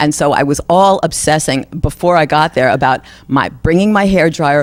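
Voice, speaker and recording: A woman with a New York accent speaks at a very deep, low pitch. Her pace is moderate, her pitch variation ordinary and her loudness very even. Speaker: singer. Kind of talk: interview.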